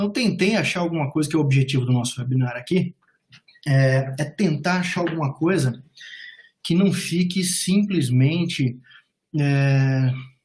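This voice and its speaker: A somewhat breathy man's voice, fairly high in pitch with ordinary pitch variation, fairly slow and broken by long, frequent pauses. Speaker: immigration and job advisor. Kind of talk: webinar presentation. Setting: online webinar call.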